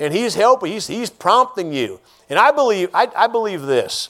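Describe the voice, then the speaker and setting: Loud and fairly quick, a man talks with very wide pitch swings. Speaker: lay preacher. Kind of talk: sermon. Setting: church.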